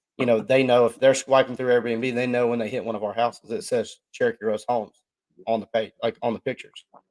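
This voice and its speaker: A man with a Southern accent speaks at a fairly quick pace in a medium pitch. The sound is dry and close, with no echo. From US South, Georgia. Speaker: podcast co-host. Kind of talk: casual chat. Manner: animated.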